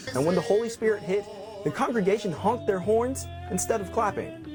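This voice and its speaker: Music in the background behind a man talking at a fairly quick pace. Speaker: TV news reporter. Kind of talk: TV news report.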